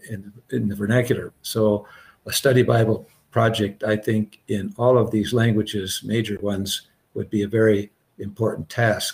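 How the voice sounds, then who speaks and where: Somewhat breathy, a man speaks at a fairly low pitch and moderate pace in a monotone, flat intonation. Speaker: Bible translation professor. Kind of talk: panel discussion. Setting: video call. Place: home room.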